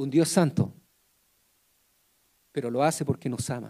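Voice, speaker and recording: A man speaks softly. His tone is dark and mellow. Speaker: preacher. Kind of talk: sermon. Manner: soft-spoken.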